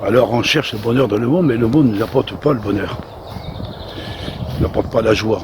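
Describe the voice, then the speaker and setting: A man with a medium pitch talks at a fairly quick pace, broken by long, frequent pauses. Noticeable background noise and audible room echo fill the recording. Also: ordinary pitch variation. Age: 60s. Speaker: lay preacher. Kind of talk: sermon. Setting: outdoors. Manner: halting.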